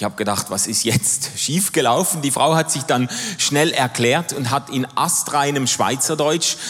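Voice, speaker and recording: Noticeable background noise sits behind the recording. A man talks at a medium pitch with ordinary pitch variation. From Switzerland, Basel. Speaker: pastor and theologian. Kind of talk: sermon.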